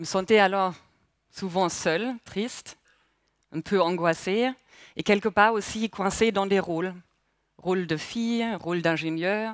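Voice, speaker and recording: A woman at a very slow pace, medium in pitch, with ordinary pitch variation and long, frequent pauses, her sound dry with no echo over a quiet background. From Germany, Palatinate. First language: German (speaking French). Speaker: mindfulness instructor. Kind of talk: speech. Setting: stage with audience. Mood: calm, reflective, personal. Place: hall. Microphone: headset.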